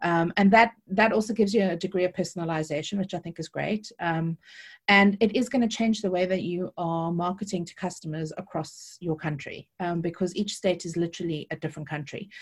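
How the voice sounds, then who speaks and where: A woman with a South African accent talks at a fairly quick pace with hardly any pauses, her somewhat breathy, fairly low voice showing ordinary pitch variation and big swings in loudness. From South Africa, Cape Town. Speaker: affiliate marketing consultant. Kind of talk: interview. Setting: video call.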